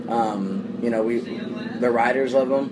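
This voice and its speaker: With an American accent, a man speaks against noticeable background noise. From Phoenix, Arizona. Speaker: motorsports team owner and general contractor. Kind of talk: casual interview. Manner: halting, filler-heavy.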